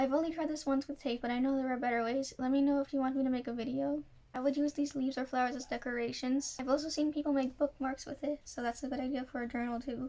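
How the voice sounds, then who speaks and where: A woman with a high pitch and a dark, mellow tone rushes along at a very fast pace, with hardly any pauses and monotone, flat intonation. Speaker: journaling hobbyist; journaling vlogger. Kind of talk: casual tutorial voiceover. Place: home room. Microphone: phone near.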